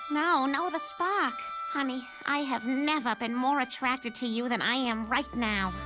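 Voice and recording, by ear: Over loud background music, a woman does a cartoonish character voice at a high pitch with very even loudness. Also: moderate pace.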